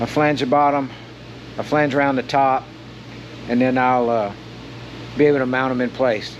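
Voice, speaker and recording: Over noticeable background noise, a man speaks at a moderate pace and a medium pitch in a monotone, flat intonation, with very even loudness and long, frequent pauses. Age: 60s. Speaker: hobby metal fabricator. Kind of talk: tutorial. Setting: home workshop. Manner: casual, halting with fillers.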